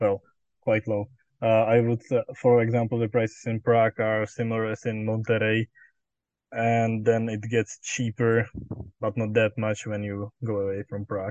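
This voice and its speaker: A man speaks in a Czech accent at a medium pitch. His intonation is flat and monotone. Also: moderate pace. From Czech Republic. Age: 20s. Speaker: exchange student. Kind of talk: interview. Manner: hesitant, frequent fillers.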